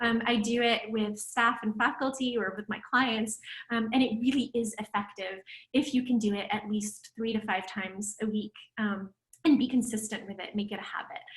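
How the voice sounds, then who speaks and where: A woman speaks at a fairly high pitch with a somewhat breathy voice and fairly even intonation. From Romania. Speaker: psychology professor. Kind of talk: lecture. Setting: video call. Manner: fast.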